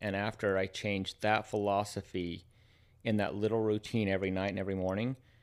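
A man with an ordinary speaking voice talks at a fairly low pitch and fairly quick pace, his intonation fairly even, in a very clean recording with a silent background. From United States. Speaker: health and wellness practitioner. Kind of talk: casual chat.

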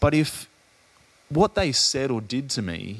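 A man with an Australian accent talks at a medium pitch, and his voice makes very wide pitch swings. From Adelaide, Australia. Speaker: podcast host. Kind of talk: casual interview conversation.

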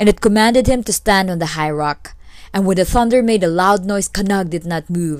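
A natural reading voice carries ordinary pitch variation.

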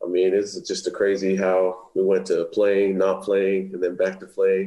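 A man at a fairly slow pace with very even loudness. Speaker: college football player, draft prospect. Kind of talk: interview.

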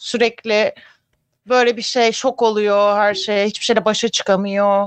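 Her pitch is fairly high for a woman. She talks at a fairly slow pace. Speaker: film and TV show co-host. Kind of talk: casual chat. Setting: live stream.

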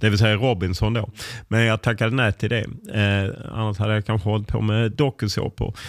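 Talking very fast in a flat monotone, a man with a fairly low voice is heard on a very clean recording with a silent background. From southern Sweden (Lund, Skåne). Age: 50s. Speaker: football journalist. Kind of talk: interview.

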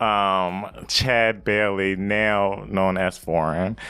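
This man speaks at a fairly low pitch. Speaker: podcast host. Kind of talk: casual interview chat. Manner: animated, extroverted.

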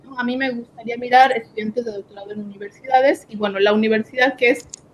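Over noticeable background noise, a woman with a fairly high voice speaks with fairly even intonation. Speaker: doctoral student. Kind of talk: interview.

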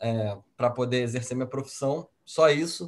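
Over a quiet background, a man uses an ordinary speaking voice at a fairly slow pace with fairly even intonation. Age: 30s. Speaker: financial advisor. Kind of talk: casual chat.

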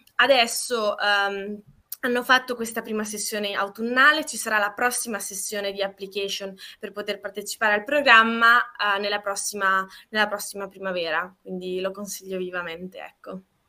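A woman with a normal speaking voice talks at a medium pitch and moderate pace, her intonation fairly even. Her loudness swings widely. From Trentino, northern Italy. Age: 20s. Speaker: law student, project founder. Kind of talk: casual interview.

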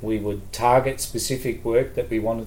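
A man talks at a moderate pace with an Australian accent. Room echo is audible. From Queensland, Australia (Townsville). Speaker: education administrator, former teacher. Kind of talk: casual chat.

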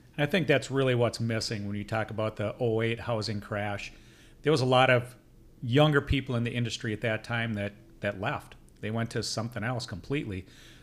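On a very clean recording with a silent background, a man with a plain, everyday voice speaks at a fairly quick pace, medium pitch and fairly even intonation. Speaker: podcast host and custom home builder. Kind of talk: casual interview chat. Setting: studio.

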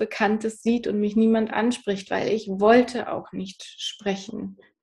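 Her voice is fairly high for a woman, somewhat breathy, with a dark, mellow tone and monotone, flat intonation. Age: 30s. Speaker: psychotherapy practitioner and author. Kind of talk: interview, personal story.

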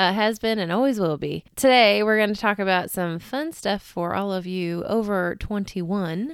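Over a silent background in a very clean recording, a woman speaks in an ordinary speaking voice at medium pitch with ordinary pitch variation, a moderate pace and hardly any pauses. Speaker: podcast host. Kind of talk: casual chat.

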